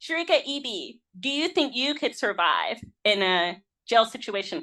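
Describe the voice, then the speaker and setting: A woman projects a raised voice with a bright, sharp, animated tone and very wide pitch swings. The background is quiet. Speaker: podcast host. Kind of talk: casual chat.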